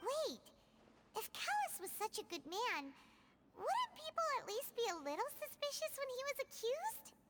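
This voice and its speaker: This put-on character voice is squeaky and extremely high, with very wide pitch swings at a moderate pace. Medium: video game. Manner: sympathetic, curious.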